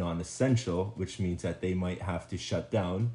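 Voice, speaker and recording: This man has a dark, mellow tone that is somewhat breathy, and he talks at a moderate pace. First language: Spanish. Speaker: podcast guest. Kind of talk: casual chat. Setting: home recording. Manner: hesitant, many fillers.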